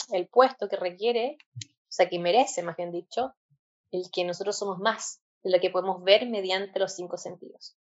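At a moderate pace, a woman uses an unremarkable speaking voice, medium in pitch with fairly even intonation. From Chile. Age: 20s. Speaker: physician turned holistic health practitioner. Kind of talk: interview conversation.

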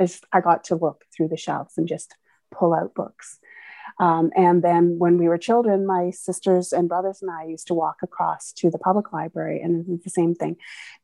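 A woman with a Canadian accent speaks at a moderate pace in a fairly low pitch, her dark, mellow tone flat and monotone, recorded dry and close with no echo. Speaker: librarian. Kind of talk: casual chat.

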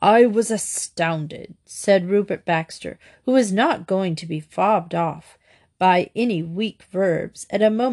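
The speaker uses an unforced reading voice with ordinary pitch variation. The background is quiet.

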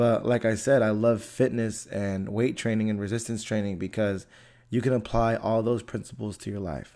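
A man with an American accent speaks at a fairly quick pace and a medium pitch in an ordinary speaking voice, on a very clean recording with a silent background. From US, Antioch. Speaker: podcast host. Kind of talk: casual solo podcast monologue.

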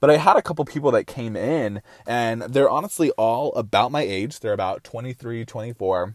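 A man with an unremarkable speaking voice talks at a medium pitch and a moderate pace with lively intonation, on a very clean recording with a silent background and a dry, close sound with no echo. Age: 20s. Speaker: podcast host and entrepreneur. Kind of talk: motivational monologue.

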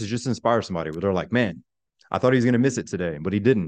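This man has a normal speaking voice, fairly low in pitch, with lively intonation against a quiet background. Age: 30s. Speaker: army veteran turned life coach. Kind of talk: interview.

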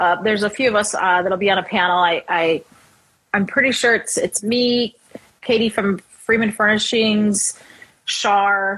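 With an American accent, a woman uses a normal speaking voice at medium pitch, keeping a fairly slow pace, fairly even intonation and very even loudness. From Chicago, US Midwest. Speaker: woodworker and business owner. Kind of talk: casual interview chat.

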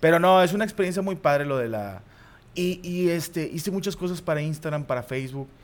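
Speaking at a fairly quick pace, a man uses a high pitch, an animated tone and ordinary pitch variation. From Mexico, Monterrey area (Guadalupe, Nuevo León). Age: 30s. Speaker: comedian and football commentator. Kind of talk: casual chat.

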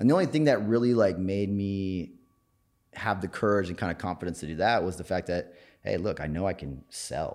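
A man with an American accent speaks in a very deep, low voice at a fairly quick pace. The recording is very clean, with a silent background. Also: ordinary pitch variation. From Minnesota, small farm town. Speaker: business founder. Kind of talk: interview. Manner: casual.

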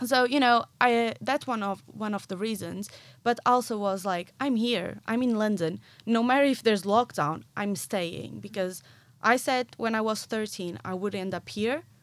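A woman's fairly high voice in a Portuguese accent, at a moderate pace with ordinary pitch variation, on a very clean recording with a silent background. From Portugal, near Porto. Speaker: marketing professional in musical theatre. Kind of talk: casual interview. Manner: animated.

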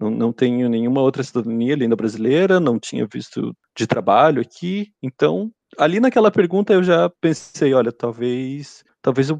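A man at a medium pitch with very wide pitch swings, at a moderate pace, in a dry, close sound with no echo and a quiet background. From Brazil. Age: 30s. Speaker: engineer. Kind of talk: casual interview. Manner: halting, repeats words.

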